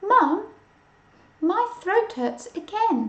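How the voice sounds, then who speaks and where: This woman uses a put-on character voice. It is squeaky and extremely high in pitch. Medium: read story.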